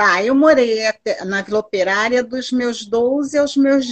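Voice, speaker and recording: A woman speaks in a high pitch with ordinary variation. Her pace is fairly slow. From Duque de Caxias, Rio de Janeiro, Brazil. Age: 60s. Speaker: artisan and entrepreneur. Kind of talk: interview.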